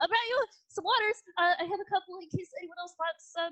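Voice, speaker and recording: Using a put-on character voice, a woman speaks fairly quickly in a squeaky, extremely high pitch. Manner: helpful, polite.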